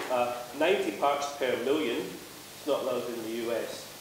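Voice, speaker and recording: Amid noticeable background noise and audible room echo, a man with a Scottish accent speaks at a moderate pace. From Scotland. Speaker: panelist. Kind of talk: panel discussion. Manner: loud; casual, swearing. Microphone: no microphone at first.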